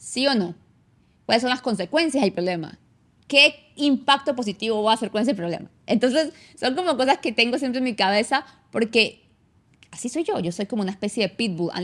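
In a Venezuelan Andean accent, a woman talks at a fairly quick pace with a high pitch, an animated tone, and lively intonation. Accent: Venezuelan Andean (gocho) Spanish. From Venezuela, San Cristóbal (Táchira). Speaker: immigration consultant and podcast host. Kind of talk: casual monologue. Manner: fast.

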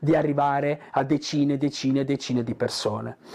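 Noticeable background noise fills the recording. Against it, a man speaks at a moderate pace. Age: 50s. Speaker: digital entrepreneur. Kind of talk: motivational talk to camera. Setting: in front of a camera. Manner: hesitant, many fillers.

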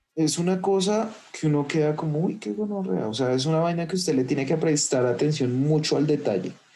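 Audible room echo surrounds a man with a fairly high pitch. He speaks at a fairly quick pace with lively intonation. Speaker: podcast host. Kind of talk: casual chat. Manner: animated.

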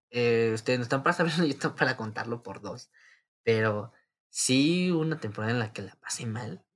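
A man with a Mexican accent talks at a moderate pace and medium pitch, with ordinary pitch variation and long, frequent pauses. His loudness swings a lot, on a very clean recording with a silent background. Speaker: podcaster. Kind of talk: casual monologue. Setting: home recording.

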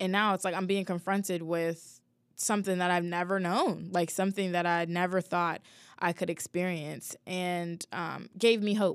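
A woman's fairly low voice in monotone, flat intonation at a moderate pace, on a very clean recording with a silent background. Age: 20s. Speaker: podcast host. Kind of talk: solo personal reflection podcast. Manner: casual, many fillers and laughs.

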